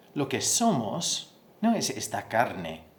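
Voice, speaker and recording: A man with a non-native accent, audible room echo. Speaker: pastor. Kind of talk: sermon. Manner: halting, repeats words.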